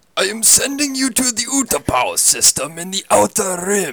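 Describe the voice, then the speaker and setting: A man puts on a character voice, pitched high and guttural. He keeps a moderate pace. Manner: menacing.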